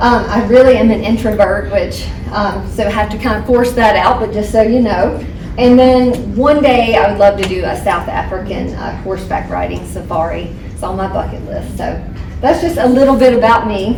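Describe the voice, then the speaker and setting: The voice moves at a moderate pace, with noticeable background noise and audible room echo. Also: woman. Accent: American. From North Carolina. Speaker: hospital CEO. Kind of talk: staff presentation. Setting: employee forum with audience.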